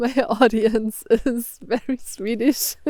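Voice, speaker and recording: A woman's dark, mellow voice with a German accent. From Germany. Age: 20s. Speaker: lifestyle vlogger. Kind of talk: casual vlog talk to camera. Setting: outdoors by a creek.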